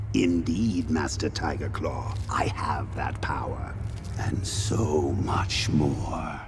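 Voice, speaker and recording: Whispering at a very slow pace, a man does a cartoonish character voice amid loud background noise and clear echo. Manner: imperious, menacing.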